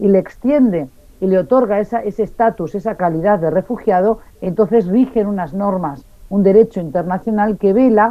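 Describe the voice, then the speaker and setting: A woman speaks at medium pitch and a moderate pace. Her intonation is lively. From Basque Country, northern Spain. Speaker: refugee and international affairs expert. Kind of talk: radio interview. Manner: clear, precise diction.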